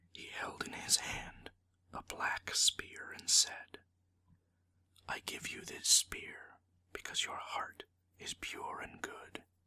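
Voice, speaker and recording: Someone is whispering. The pace is very slow. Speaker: ASMR storyteller. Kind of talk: whispered storytelling reading of a folktale. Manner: whispered, soft.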